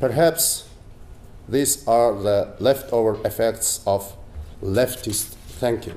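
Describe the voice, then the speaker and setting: A man with a Mongolian accent speaks at a very slow pace, with long, frequent pauses. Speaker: politician and economist. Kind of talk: lecture. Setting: stage with audience. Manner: formal. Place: hall. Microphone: podium.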